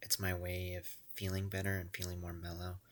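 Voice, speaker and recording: A man speaks at a moderate pace in a very deep, low monotone. The recording is very clean, with a silent background. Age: 20s. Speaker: vlogger. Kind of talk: casual monologue. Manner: soft-spoken; rambling, halting.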